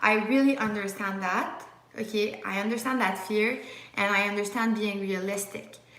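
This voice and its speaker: A woman with a Quebec accent speaks in a monotone, flat intonation, with audible room echo and noticeable background noise. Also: medium pitch for a woman, moderate pace. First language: French. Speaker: medical student YouTuber. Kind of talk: live Q&A stream. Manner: casual, frequent fillers and restarts.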